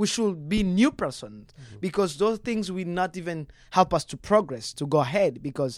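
Recorded very cleanly against a silent background, a man speaks at a moderate pace with very wide pitch swings. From Democratic Republic of the Congo, Rwandan family. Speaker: community leader. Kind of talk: casual interview. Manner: halting.

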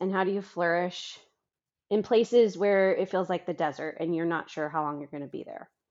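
Using an unremarkable speaking voice, a woman talks at a medium pitch with ordinary pitch variation. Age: 30s. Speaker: author and marketing agency owner. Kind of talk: interview conversation.

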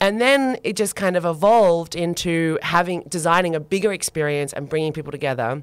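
Speaking in an Australian accent, a woman with a fairly low pitch talks at a fairly quick pace, her intonation lively and hardly any pauses between words. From Australia (Sydney; born in Turkey per family move). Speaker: sustainability designer and sociologist. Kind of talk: casual interview chat. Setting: studio.

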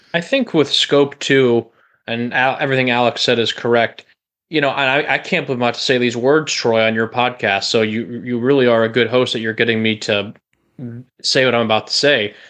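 Against a quiet background, a man with an ordinary speaking voice talks at a fairly quick pace, medium in pitch with fairly even intonation. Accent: American. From Chicagoland, US Midwest. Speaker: podcast co-host, sports fan. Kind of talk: casual interview.

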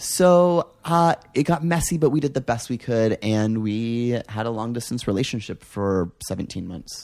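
An ordinary speaking voice from a man, medium in pitch, moderate in pace, with lively intonation and hardly any pauses. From Canada. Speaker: interview guest. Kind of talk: casual chat.

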